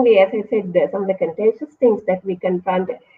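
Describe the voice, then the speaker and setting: A woman's fairly high voice with a Sri Lankan accent. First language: Sinhala. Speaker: university lecturer. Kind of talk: interview. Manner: fast.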